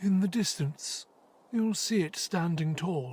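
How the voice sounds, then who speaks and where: At a middle pitch and a fairly slow pace, the speaker uses a put-on character voice. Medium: video game.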